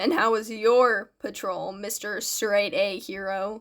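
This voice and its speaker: A woman uses a put-on character voice, raspy and at a medium pitch. She speaks at a fairly slow pace. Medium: read story. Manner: light, teasing, animated.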